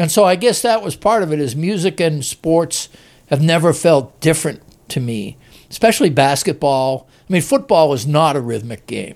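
A man with an American accent has a normal speaking voice, fairly high in pitch, and lively intonation. He talks at a moderate pace on a very clean recording with a silent background. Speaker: basketball writer. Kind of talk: casual chat. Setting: studio.

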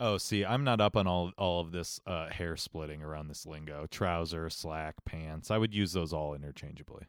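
A man with a slight Ohio accent speaks in a very deep, low voice with ordinary pitch variation. The recording is very clean and silent behind him, with a dry, close sound and no echo. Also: moderate pace. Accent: slight Ohio accent creeping back. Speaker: podcast co-host. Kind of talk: casual chat.

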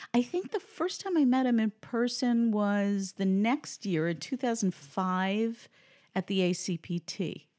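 A woman with an American accent has an unremarkable speaking voice, fairly high in pitch, with lively intonation at a fairly slow pace and very even loudness. The recording is very clean with a silent background and a dry, close sound with no echo. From New York City, the Bronx. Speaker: crossword columnist. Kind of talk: casual chat. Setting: at guest's home.

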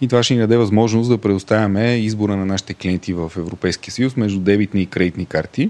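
A man's fairly low voice, very fast and fairly even in intonation, with hardly any pauses. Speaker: fintech co-founder and finance director. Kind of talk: interview.

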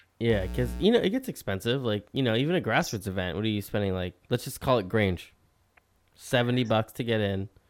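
At a fairly quick pace, a man with a fairly low pitch and ordinary pitch variation talks in an unremarkable speaking voice. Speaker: podcast host. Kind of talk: casual interview chat.

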